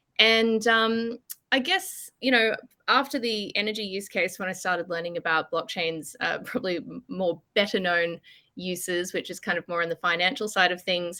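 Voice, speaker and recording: On a very clean recording with a silent background, a woman with an Australian accent speaks at medium pitch in a bright, sharp tone with ordinary pitch variation. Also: moderate pace. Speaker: consultancy director and columnist. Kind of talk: podcast interview. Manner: casual, filler-heavy.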